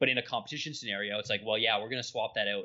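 The speaker is a man. He has an Ontario accent. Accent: Canadian (Ontario). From southwestern Ontario, Canada. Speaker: nutrition scientist and strength coach. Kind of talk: podcast interview.

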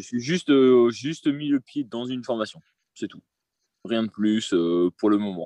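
A man speaks at a fairly slow pace with long, frequent pauses and a medium pitch. His ordinary pitch variation comes through in a dry, close sound with no echo. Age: 20s. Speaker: aspiring property investor, salesman. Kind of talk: interview. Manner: hesitant.

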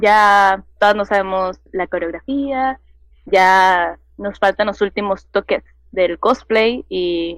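A woman of medium pitch delivers her words very slowly. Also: ordinary pitch variation. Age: 20s. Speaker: cosplayer and youtuber. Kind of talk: casual interview.

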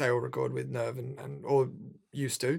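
A man with an Australian accent is heard in a very clean recording with a silent background. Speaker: rapper. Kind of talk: casual interview. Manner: animated.

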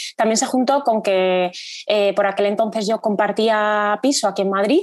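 A woman's fairly high-pitched voice against a quiet background. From Spain, Salamanca. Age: 30s. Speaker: amateur runner. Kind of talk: podcast interview. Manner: hesitant, many fillers.

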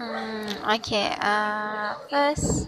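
A woman with a non-native accent talks in a fairly high pitch over noticeable background noise. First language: not English. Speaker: student podcaster. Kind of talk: self-introduction monologue. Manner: halting, many fillers.

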